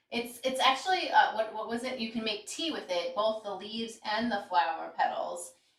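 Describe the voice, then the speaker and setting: Her pitch fairly high, a woman talks with lively intonation and hardly any pauses. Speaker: live stream co-host. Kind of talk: casual chat. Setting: live stream. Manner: fast.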